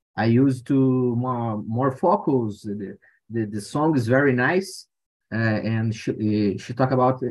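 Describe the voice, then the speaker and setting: Speaking very slowly, a man with a Portuguese accent shows ordinary pitch variation. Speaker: language learner. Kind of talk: casual chat. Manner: halting.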